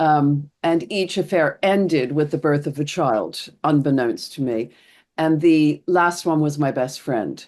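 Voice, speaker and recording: This woman has a very deep, low pitch and an American accent. She talks at a fairly slow pace with ordinary pitch variation over a quiet background. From US East Coast. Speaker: therapist. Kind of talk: podcast interview.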